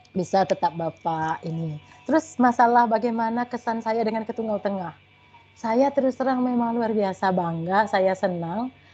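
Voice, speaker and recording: A woman keeps a moderate pace with music in the background. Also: fairly high pitch for a woman, ordinary pitch variation. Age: 40s. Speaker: school principal. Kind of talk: webinar talk. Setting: video call.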